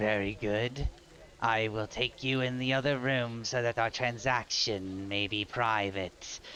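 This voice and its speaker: Using a put-on character voice, a man hisses at a fairly slow pace with a medium pitch. Clear background noise is present. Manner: hissing.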